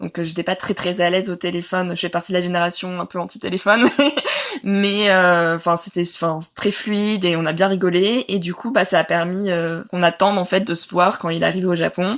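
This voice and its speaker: A woman's fairly low voice, flat and monotone in intonation. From southern France, Nice. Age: 30s. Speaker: mother sharing birth story. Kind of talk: interview testimony. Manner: hesitant, many filler sounds.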